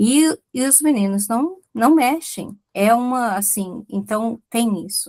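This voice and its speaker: A woman's dark, mellow tone comes across as somewhat breathy. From Brazil. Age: 60s. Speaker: audience participant. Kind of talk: casual chat. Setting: video call.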